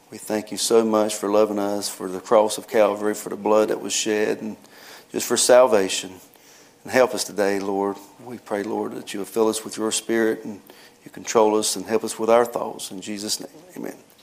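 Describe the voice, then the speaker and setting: Noticeable background noise sits behind a man with a fairly low pitch. He speaks at a fairly quick pace in a monotone, flat intonation. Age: 50s. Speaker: preacher. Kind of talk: sermon. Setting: church.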